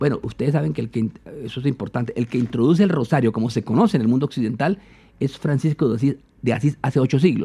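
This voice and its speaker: A man's medium-pitched, somewhat breathy voice, dark and mellow in tone, with lively intonation at a very fast pace. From Colombia, eastern plains (Meta). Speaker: philosopher and imam. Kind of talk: interview conversation.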